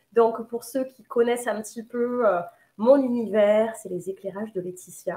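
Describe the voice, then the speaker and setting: Speaking at a fairly slow pace, a woman with a southern French accent has a fairly high pitch. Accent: southern French, sing-song. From southern France, Nîmes. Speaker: medium and holistic therapist. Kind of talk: casual self-introduction. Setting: live video. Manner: halting, many fillers.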